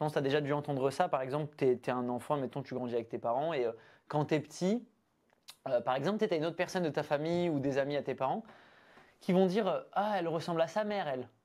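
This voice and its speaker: Speech at a very fast pace comes through on a very clean recording with a silent background. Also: man, fairly high pitch for a man, ordinary pitch variation. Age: 20s. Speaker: breathwork practitioner and entrepreneur. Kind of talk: casual interview conversation. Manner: hesitant, many fillers.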